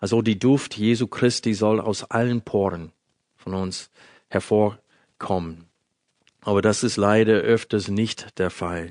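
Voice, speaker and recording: A man talks at a very slow pace with a fairly low pitch and fairly even intonation. The background is quiet. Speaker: Bible teacher. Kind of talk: sermon.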